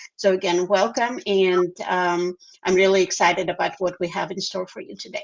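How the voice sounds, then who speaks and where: A woman with a medium pitch speaks at a moderate pace in a monotone, flat intonation, her loudness swinging widely. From Belarus. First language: Russian. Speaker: interpreter and livestream co-host. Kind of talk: livestream casual presentation. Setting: livestream.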